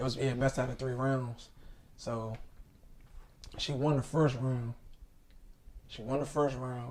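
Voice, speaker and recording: A man's medium-pitched, somewhat breathy voice, monotone and flat, at a fairly slow pace with long, frequent pauses. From Washington DC. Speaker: comedian. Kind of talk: casual chat.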